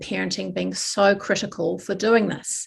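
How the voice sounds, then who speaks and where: Vocal fry comes through on a very clean recording with a silent background. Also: woman. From New Zealand. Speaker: psychology professor and researcher. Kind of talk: research forum talk.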